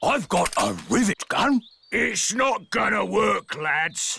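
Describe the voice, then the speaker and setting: In a cartoonish character voice, a man speaks high and fairly slowly, his loudness very even, the sound dry and close with no echo. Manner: hearty, blunt.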